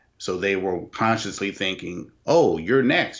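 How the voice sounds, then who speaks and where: A man has an unremarkable speaking voice at a fairly low pitch. His intonation is lively. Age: 40s. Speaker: host's husband. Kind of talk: casual chat. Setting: video call.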